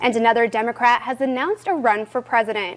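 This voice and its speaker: This is a normal speaking voice. The pace is fairly quick. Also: woman. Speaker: TV news anchor and reporter. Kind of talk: TV news anchor delivery.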